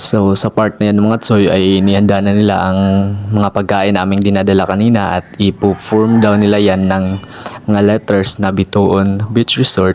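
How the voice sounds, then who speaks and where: There is noticeable background noise as a man speaks in a monotone, flat way at a moderate pace. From Visayas, Philippines (Mindanao, Dapitan area). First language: Cebuano (Bisaya) (speaking Tagalog). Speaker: vlogger. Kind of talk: vlog voice-over narration. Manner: halting, repeats words.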